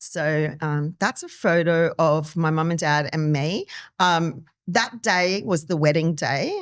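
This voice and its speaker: This woman has a very deep, low pitch with ordinary pitch variation. The recording is very clean, with a silent background. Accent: Australian. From Australia, Darwin (born Timor-Leste). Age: 50s. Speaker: community member sharing life story. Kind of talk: podcast interview.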